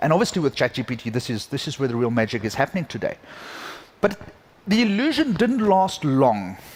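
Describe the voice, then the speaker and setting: This man has a South African accent and a fairly high pitch. He talks at a fairly quick pace with very wide pitch swings. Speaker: conference keynote speaker, tech executive. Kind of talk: keynote talk. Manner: hesitant, many fillers.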